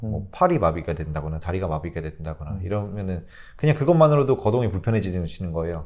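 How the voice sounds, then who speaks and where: Delivery comes at a very fast pace. The intonation is lively. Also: man, very deep, low pitch for a man. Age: 30s. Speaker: social worker. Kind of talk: interview answer.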